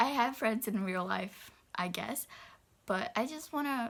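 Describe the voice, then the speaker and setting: A woman with a Brazilian Portuguese accent speaks at a fairly slow pace. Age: 20s. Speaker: book vlogger. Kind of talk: casual vlog. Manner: hesitant, many fillers.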